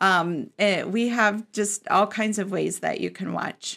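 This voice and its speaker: A medium-pitched woman's voice in an American accent, with vocal fry, on a very clean recording against a silent background. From Florida. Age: 50s. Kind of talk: casual interview. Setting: studio.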